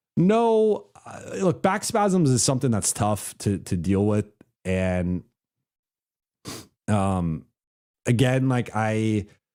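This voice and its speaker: The voice has a dark, mellow tone and lively intonation, moving at a very slow pace with long, frequent pauses. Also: man, fairly low pitch for a man, very clean recording, silent background. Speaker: basketball reporter and commentator. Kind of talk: live stream reaction with super chats. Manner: halting, many repeated words and fillers.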